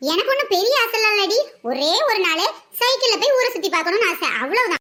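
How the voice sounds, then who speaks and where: Putting on a cartoonish character voice, a woman speaks at an extremely high pitch and a moderate pace, her intonation lively and her loudness very even. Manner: stubborn, self-satisfied.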